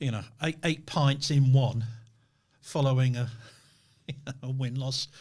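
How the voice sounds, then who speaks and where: A man's medium-pitched, somewhat breathy voice at a fairly slow pace, with fairly even intonation and long, frequent pauses. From northern England. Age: 60s. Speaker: podcast host. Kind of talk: interview conversation.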